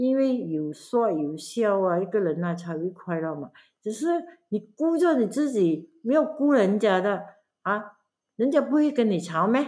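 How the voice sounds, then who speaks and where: At a fairly slow pace, a woman speaks at medium pitch with very wide pitch swings. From Malaysia, Pahang. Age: 70s. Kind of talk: casual family interview. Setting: camping at grandmother's home.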